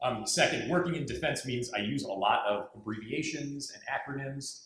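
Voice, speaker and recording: Lively intonation marks this voice with an American accent, heard with audible room echo. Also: man. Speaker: diplomat. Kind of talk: panel presentation. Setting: university lecture hall with audience. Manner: halting.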